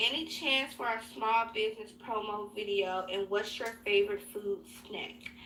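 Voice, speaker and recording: A woman with an American accent, fairly high in pitch with ordinary pitch variation, at a moderate pace over noticeable background noise. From Chicago, South Side. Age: 20s. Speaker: beauty youtuber. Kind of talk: casual Q&A chat. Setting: home glam room. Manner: casual, filler-heavy.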